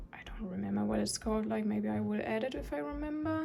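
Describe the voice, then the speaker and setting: A woman speaks with a non-native accent. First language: not English. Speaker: journaling vlogger. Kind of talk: casual show-and-tell video. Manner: hesitant, with fillers.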